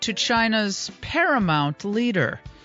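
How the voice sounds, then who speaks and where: Over music in the background, a woman speaks at a fairly high pitch with very wide pitch swings. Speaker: talk radio host. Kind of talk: talk radio host commentary.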